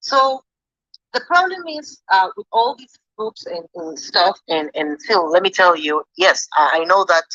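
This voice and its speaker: A bright, sharp tone in a non-native accent, with very wide pitch swings, big swings in loudness, a fairly slow pace, and a dry, close sound with no echo. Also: woman, medium pitch for a woman. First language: not English. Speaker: fan in audience. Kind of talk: debate comment. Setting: online audio space. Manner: halting.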